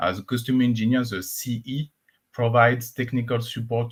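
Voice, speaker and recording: Heard in a very clean recording with a silent background, a man speaks at a medium pitch with a French accent. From France. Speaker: cloud engineer and conference speaker. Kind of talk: conference talk. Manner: frequent filler uh.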